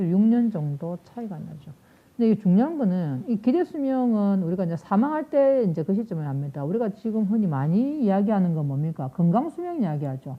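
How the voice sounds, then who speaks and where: Her pitch medium but swinging very widely, a woman talks at a fairly quick pace, somewhat breathy and with hardly any pauses. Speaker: nursing professor. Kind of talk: lecture. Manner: fast.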